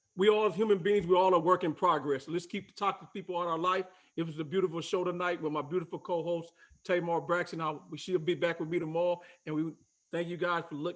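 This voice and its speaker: Over a quiet background, a man talks very fast in a high pitch with monotone, flat intonation. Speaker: talk show host. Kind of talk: casual chat. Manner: stuttering.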